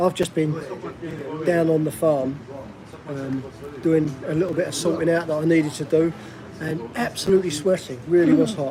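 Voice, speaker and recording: Over noticeable background noise, a man with a South East London accent speaks at a moderate pace in a fairly high pitch, taking long, frequent pauses. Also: ordinary pitch variation. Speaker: vlogger living abroad. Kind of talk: live stream chat. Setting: restaurant.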